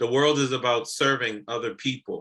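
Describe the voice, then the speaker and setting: A man's fairly high-pitched, bright, sharp voice at a moderate pace. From US, Haitian immigrant family. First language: French and Haitian Creole. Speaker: real estate investor and retired military officer. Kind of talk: podcast interview.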